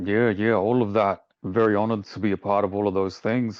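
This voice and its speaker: A man's fairly low, monotone voice with flat intonation and an Australian accent, at a very fast pace against a quiet background. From Australia, Victoria. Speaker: hip-hop artist. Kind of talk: red carpet interview. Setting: red carpet at awards show.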